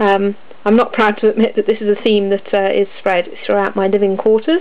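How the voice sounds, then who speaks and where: Over noticeable background noise, a woman with a British accent talks at a fairly quick pace and a fairly high pitch. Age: 20s. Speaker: miniature painter and wargamer. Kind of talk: casual talk to camera.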